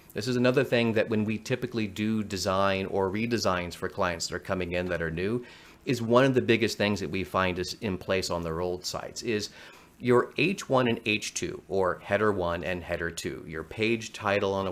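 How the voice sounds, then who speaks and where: Heard at a moderate pace with ordinary pitch variation, this is a normal speaking voice. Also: man. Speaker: marketing strategist. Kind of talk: online workshop presentation.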